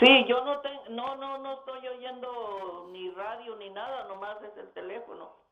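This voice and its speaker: A woman with a high pitch talks at a fairly slow pace with hardly any pauses, ordinary pitch variation and big swings in loudness. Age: 60s. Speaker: caller. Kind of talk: phone-in question. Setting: phone call. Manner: halting.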